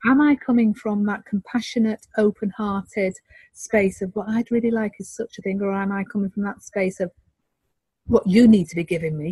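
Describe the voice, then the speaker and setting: In a dry, close sound with no echo, a woman speaks at a moderate pace and medium pitch, her tone dark, mellow and somewhat breathy, her intonation fairly even. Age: 50s. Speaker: relationship counselor. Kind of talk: interview.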